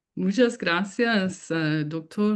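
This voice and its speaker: Against a quiet background, a woman talks at a very slow pace. Her pitch varies in an ordinary way. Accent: non-native. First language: English (speaking Spanish). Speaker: professor, keynote speaker. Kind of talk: lecture. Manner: halting.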